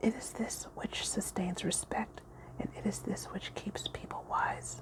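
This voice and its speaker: Whispering at a fairly slow pace over noticeable background noise. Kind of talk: audiobook-style reading of a spiritual book, ASMR story time. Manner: soft-spoken.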